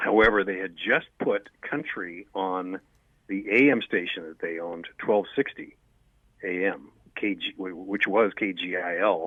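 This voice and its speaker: A man with an unremarkable speaking voice talks fairly slowly, his fairly low pitch showing ordinary variation. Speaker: radio personality and voiceover talent. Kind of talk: interview answer.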